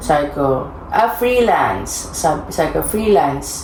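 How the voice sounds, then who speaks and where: Soft-spoken, a woman talks with very wide pitch swings amid audible room echo and noticeable background noise. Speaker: vlogger. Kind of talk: casual storytelling.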